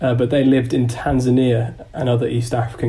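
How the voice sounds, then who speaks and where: Flat, monotone intonation from a man with a London accent at medium pitch, amid noticeable background noise. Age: 20s. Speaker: environmental activist. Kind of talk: casual chat.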